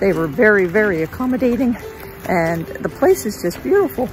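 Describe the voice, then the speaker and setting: Clear music plays in the background. The speech comes at a moderate pace with a dry sound and no echo. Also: woman. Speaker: travel vlogger. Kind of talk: casual vlog chat. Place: open country. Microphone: phone near.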